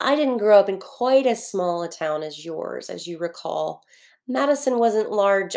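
In a very clean recording with a silent background, a woman talks in an ordinary speaking voice. Her pace is moderate and her intonation lively. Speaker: fiction narrator. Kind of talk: literary audiobook reading, first-person fictional letter. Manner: intimate, wistful, earnest; measured, reflective narration pace.

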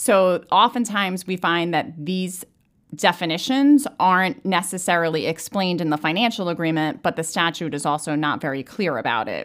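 This woman has a normal speaking voice, fairly low-pitched, with lively intonation at a moderate pace. The recording is very clean, with a silent background. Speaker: accounting firm partner, real estate auditor. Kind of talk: explanatory professional discussion.

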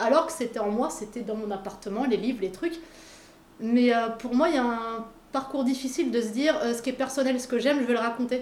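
Amid noticeable background noise and audible room echo, a woman talks. Her voice is high and her pace fairly quick. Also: ordinary pitch variation. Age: 40s. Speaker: illustrator and muralist. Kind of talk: interview.

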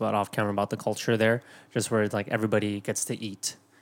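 A man talks at a very fast pace in a fairly low voice. The recording is very clean, with a silent background. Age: 30s. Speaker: podcast co-host. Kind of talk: casual chat.

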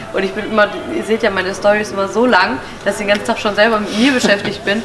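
Talking at a very fast pace, a woman with a medium pitch is heard against noticeable background noise. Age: 30s. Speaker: influencer. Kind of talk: casual interview. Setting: video shoot.

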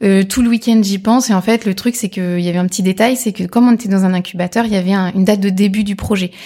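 Very fast and with hardly any pauses, a woman speaks at medium pitch in a dark, mellow tone that is somewhat breathy. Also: fairly even intonation. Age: 30s. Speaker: entrepreneur, former digital marketer. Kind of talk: casual interview.

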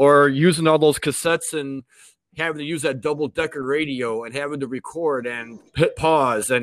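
A man with an American accent has a plain, everyday voice at a fairly high pitch with ordinary pitch variation. The sound is dry and close with no echo. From Chicago. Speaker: podcast host guest. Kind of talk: casual interview.

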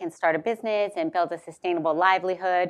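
A woman of medium pitch talks at a fairly quick pace in a plain, everyday voice. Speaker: moderator at think tank. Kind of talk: moderated book talk. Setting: in-person event with audience.

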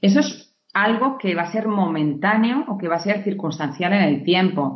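In a Castilian accent, a woman speaks at a moderate pace with ordinary pitch variation. Audible room echo surrounds her voice. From Navarra, Spain. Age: 30s. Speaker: pediatric nurse. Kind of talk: interview. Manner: hesitant with repetitions.

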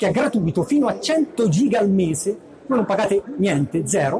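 A man with a high-pitched voice speaks at a moderate pace. His intonation is lively, and there is noticeable background noise. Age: 30s. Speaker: tech blogger. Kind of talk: talk. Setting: stage with audience. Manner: halting. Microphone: poor audio quality.

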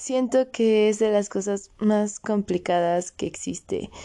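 A woman speaks at a very slow pace in a dark, mellow tone at medium pitch. The background is quiet. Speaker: podcast host. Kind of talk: casual monologue.

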